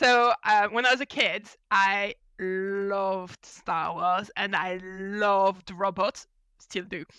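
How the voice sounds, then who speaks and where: The speech, in a French accent, moves at a very slow pace. The sound is dry and close, with no echo. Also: woman, medium pitch for a woman. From France. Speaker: mechanical engineer and mentoring consultant. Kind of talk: podcast interview. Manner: animated.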